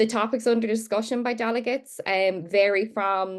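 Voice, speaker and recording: Delivered at a moderate pace with fairly even intonation, this voice carries an Irish accent over a quiet background. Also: woman. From Ireland. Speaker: barrister and youth advocate. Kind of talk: panel discussion.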